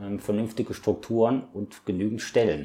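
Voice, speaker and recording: Here a man speaks at a fairly low pitch and a moderate pace. His tone is dark and mellow. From Ratingen, western Germany. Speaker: local politician. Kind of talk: interview.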